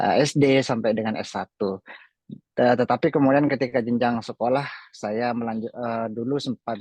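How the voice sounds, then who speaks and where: Heard in a dry, close sound with no echo, a man with a Madurese accent talks at a moderate pace, his medium pitch carrying fairly even intonation. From Indonesia, Sumenep, Madura. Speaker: graduate student abroad. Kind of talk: personal story in online talk show.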